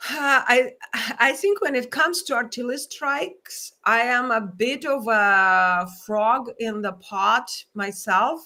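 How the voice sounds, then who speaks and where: In a non-native accent, a woman speaks very slowly with a bright, sharp tone, a high pitch and lively intonation, recorded very cleanly against a silent background. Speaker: journalist. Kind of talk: interview.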